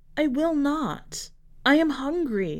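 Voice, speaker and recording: The high, croaky, hoarse voice is a put-on character voice. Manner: eerie, frightening.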